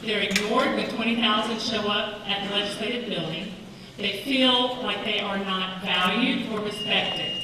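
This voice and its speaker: With an American accent, a woman speaks at a moderate pace amid noticeable background noise and audible room echo. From eastern North Carolina. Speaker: political candidate, teacher. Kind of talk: candidate forum debate. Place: hall. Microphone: podium.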